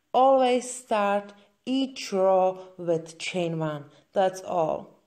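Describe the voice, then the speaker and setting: A woman speaks at a very slow pace with a Czech accent and lively intonation. Her tone is dark and mellow at medium pitch. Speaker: crochet instructor. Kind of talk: tutorial. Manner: halting.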